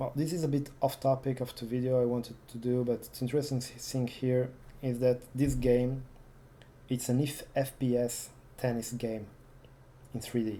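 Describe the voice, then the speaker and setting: The speaker has a non-native accent. The pace is moderate. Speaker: retro computing youtuber. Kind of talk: casual demo walkthrough. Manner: halting, many fillers.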